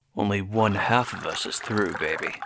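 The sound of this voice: A man's put-on character voice, fairly low for a man, bright and sharp in tone with vocal fry, ordinary pitch variation and a moderate pace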